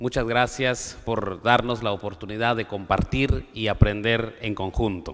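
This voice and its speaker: A man's medium-pitched voice at a fairly slow pace, with fairly even intonation and hardly any pauses. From Guatemala, Maya K'iche' community. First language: K'iche' (Mayan) (speaking Spanish). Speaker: conference panelist on education policy. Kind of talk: conference speech. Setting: auditorium with audience. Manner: formal.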